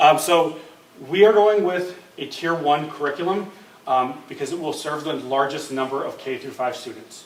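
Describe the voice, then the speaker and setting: Recorded with audible room echo and noticeable background noise, a man speaks with ordinary pitch variation and big swings in loudness. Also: fairly high pitch for a man. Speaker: school curriculum administrator. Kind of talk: presentation to school board. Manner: fast; hesitant fillers.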